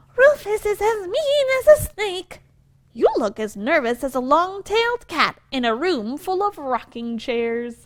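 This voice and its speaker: A woman's put-on character voice at an extremely high pitch, fairly slow, with very wide pitch swings. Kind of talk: picture-book read-aloud. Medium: read story.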